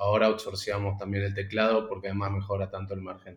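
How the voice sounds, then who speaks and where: A man speaks in a fairly low, monotone, flat voice. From Argentina. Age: 30s. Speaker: startup founder. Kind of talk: interview. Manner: halting, repeats words.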